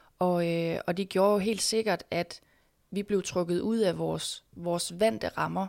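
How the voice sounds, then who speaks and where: A woman at medium pitch, fairly slow and fairly even in intonation, on a very clean recording with a silent background. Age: 20s. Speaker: schoolteacher. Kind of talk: interview. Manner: halting, many fillers and repetitions.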